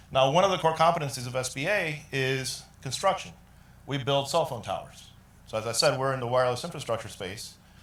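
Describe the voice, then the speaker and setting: A man speaks at a fairly quick pace with a medium pitch and lively intonation, and room echo can be heard. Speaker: IT business leader presenting at a tech summit. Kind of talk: conference presentation. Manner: loud.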